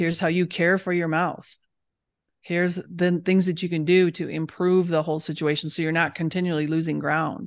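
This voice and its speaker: Against a quiet background, a woman with an American accent talks at a moderate pace and a fairly low pitch in a monotone, flat intonation. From Michigan, US Midwest. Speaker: holistic dentist. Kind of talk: casual interview chat.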